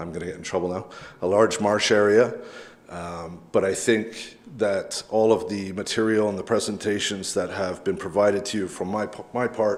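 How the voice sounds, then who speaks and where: A man's fairly low voice with a Canadian accent, at a moderate pace with fairly even intonation, big swings in loudness and audible room echo. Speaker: local resident speaking at public meeting. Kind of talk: public comment at council meeting. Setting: council chamber with public gallery.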